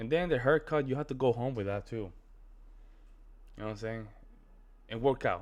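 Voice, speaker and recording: A man with a strong Spanish accent talks at a fairly quick pace, using ordinary pitch variation. He leaves long, frequent pauses. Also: medium pitch for a man. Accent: thick Spanish. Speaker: reaction video creator. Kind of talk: casual reaction commentary. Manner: animated.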